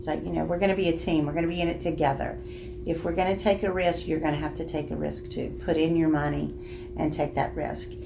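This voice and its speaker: A woman talking at a very fast pace, with noticeable background noise and audible room echo. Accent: Southern US. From Alabama, Birmingham area. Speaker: bank loan officer. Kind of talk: interview.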